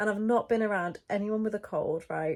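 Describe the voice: A woman's medium-pitched voice, slightly mellow in tone, with ordinary pitch variation at a moderate pace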